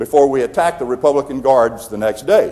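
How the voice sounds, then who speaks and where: Speaking very fast with a Southern US accent, this man has a fairly high pitch. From US South. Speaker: retired general and leadership speaker. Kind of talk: keynote speech.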